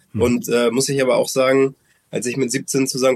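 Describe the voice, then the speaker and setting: The man's voice sits at a medium pitch. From Hamburg, northern Germany. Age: 30s. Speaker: former pro footballer, now women's team coach. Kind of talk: interview. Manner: hesitant, many fillers.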